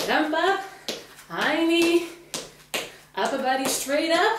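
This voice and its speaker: Noticeable background noise and audible room echo surround a woman's voice. She talks at a very slow pace. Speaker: fitness instructor. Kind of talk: workout instruction cues. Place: empty room.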